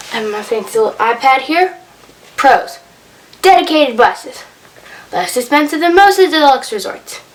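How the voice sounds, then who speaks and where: This woman's high voice makes very wide pitch swings and big swings in loudness at a moderate pace. Her long pauses come often, over noticeable background noise. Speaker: vlogger. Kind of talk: casual tutorial-style vlog. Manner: casual.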